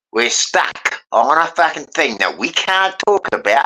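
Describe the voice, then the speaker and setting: A fairly slow delivery in a British accent. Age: 70s. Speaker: panel participant. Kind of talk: casual chat. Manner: animated.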